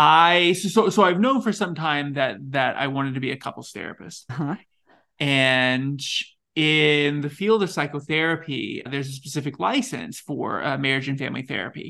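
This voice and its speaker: Against a quiet background, a man with an American accent speaks at a fairly high pitch and a moderate pace, his tone bright and sharp and his intonation lively. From Texas. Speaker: sex therapist and podcaster. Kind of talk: interview conversation.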